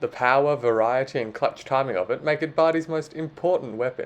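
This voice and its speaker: Someone with an Australian accent talks at a fairly quick pace. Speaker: sports commentator, video essayist. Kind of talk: scripted opinion commentary.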